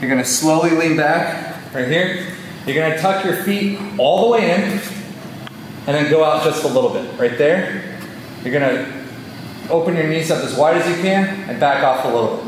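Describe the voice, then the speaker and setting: A man talks at a moderate pace, his fairly high voice showing ordinary pitch variation. The room echo is audible and background noise is noticeable. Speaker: fitness coach. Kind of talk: tutorial.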